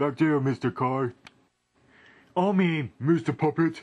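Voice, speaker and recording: In a cartoonish character voice, a man talks at a fairly slow pace with a fairly high pitch. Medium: puppet.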